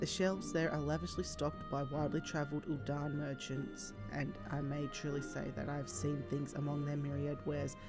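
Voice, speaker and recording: Music plays in the background. The recording is quiet. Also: hardly any pauses. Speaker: video game streamer. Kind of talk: reading unvoiced game dialogue aloud. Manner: quiet, low volume.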